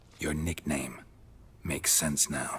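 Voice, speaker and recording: A man performs a put-on character voice. His pitch sits very deep and low. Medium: video game. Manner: dry, laconic, calm.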